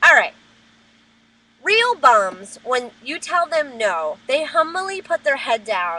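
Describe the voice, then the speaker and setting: Noticeable background noise sits behind a woman with an American accent using a raised, projected voice. She goes at a fairly slow pace with very wide pitch swings. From New Jersey. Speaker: vlogger. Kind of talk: webcam rant. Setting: webcam recording. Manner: animated.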